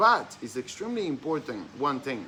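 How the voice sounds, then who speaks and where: Man with a non-native accent, moderate pace and lively intonation. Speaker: dropshipping mentor. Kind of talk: tutorial. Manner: hesitant, many fillers.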